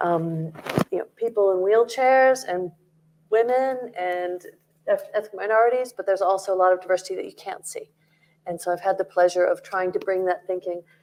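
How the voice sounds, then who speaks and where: A woman with an American accent has an unremarkable speaking voice and ordinary pitch variation. She goes at a fairly quick pace with big swings in loudness. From North America. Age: 50s. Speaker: headhunting business founder, panelist. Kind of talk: panel discussion. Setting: stage with audience.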